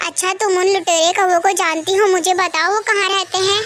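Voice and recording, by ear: In a cartoonish character voice pitched extremely high, the speaker delivers flat, monotone lines at a moderate pace over clear background noise.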